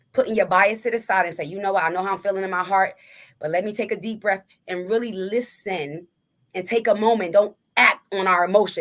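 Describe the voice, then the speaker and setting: A woman's medium-pitched voice at a very fast pace, with fairly even intonation, on a very clean recording with a silent background. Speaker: podcast co-host. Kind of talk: casual chat.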